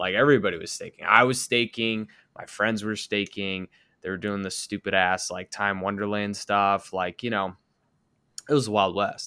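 Bright and sharp in tone, a man's fairly low voice moves at a moderate pace in a very clean recording with a silent background. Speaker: podcast host. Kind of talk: casual chat. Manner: loud; animated.

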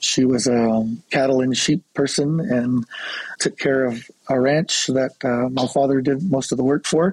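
This man has an ordinary speaking voice at medium pitch, delivered at a fairly slow pace. The sound is dry and close, with no echo. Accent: American. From Colorado, US Southwest. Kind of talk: interview.

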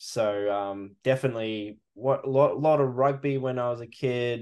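With an Australian accent, a man speaks at a fairly slow pace in a monotone, flat intonation against a quiet background. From Western Australia, rural wheatbelt. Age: 30s. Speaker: sports photographer. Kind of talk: casual chat.

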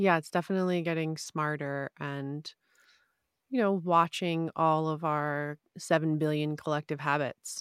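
On a very clean recording with a silent background and a dry, close sound with no echo, a woman speaks at a fairly slow pace with a very deep, low pitch and fairly even intonation. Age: 30s. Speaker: meditation coach. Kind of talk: casual interview.

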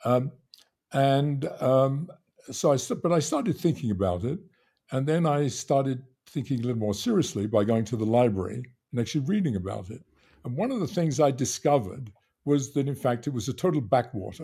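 Over a silent background in a very clean recording, a man with a medium pitch talks at a fairly quick pace, somewhat breathy, with a dark, mellow tone and lively intonation. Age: 80s. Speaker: theoretical physicist, professor. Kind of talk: casual interview conversation.

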